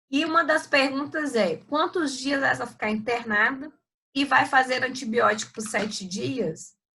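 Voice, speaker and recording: A bright, sharp, raised and projected voice moves at a fairly slow pace with lively intonation. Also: woman, high pitch for a woman. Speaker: surgery professor. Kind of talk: lecture. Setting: video call.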